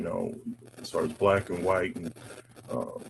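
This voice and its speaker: This is a man speaking with an American accent. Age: 50s. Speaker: panel speaker on race. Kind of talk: personal testimony. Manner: halting, many fillers.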